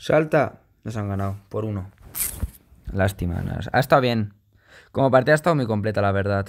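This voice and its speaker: Despite long, frequent pauses, a man with a fairly low pitch and lively intonation keeps a fairly quick pace. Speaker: gaming youtuber. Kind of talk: gameplay commentary. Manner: animated.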